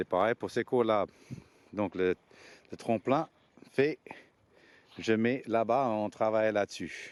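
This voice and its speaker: Very slowly and with long, frequent pauses, a man of medium pitch speaks with ordinary pitch variation, the sound dry and close with no echo. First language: not French (speaking French). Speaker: skateboard coach. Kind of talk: informal explanatory talk to parents. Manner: hesitant, many fillers and repetitions.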